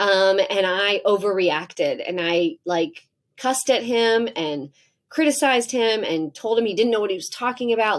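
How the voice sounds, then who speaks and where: Her tone animated and her intonation lively, a woman talks at a moderate pace. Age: 40s. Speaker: psychologist. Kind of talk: interview conversation.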